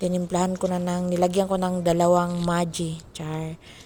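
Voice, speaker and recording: A woman's fairly low voice at a fairly slow pace, in a monotone, flat intonation. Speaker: overseas domestic worker vlogger. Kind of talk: cooking vlog. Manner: casual, chatty.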